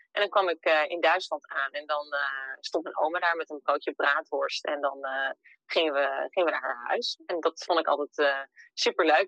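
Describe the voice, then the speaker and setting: A woman's very deep, low voice, bright and sharp in tone, with fairly even intonation, a moderate pace and a dry, close sound with no echo. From Netherlands, Emmeloord (Noordoostpolder). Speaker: entrepreneur living abroad. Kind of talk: interview.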